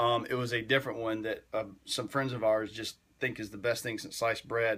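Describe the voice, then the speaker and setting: A man with a Southern US accent speaks at a moderate pace. His tone is bright and sharp. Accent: Southern US twang. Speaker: fitness livestreamer. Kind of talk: casual livestream chat. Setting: livestream at home. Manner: animated.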